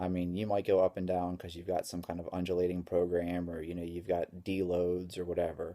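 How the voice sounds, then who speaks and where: In a very clean recording with a silent background, a man talks quietly and fairly quickly in a very deep, low voice with a dark, mellow tone. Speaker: strength coach. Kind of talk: vlog tutorial.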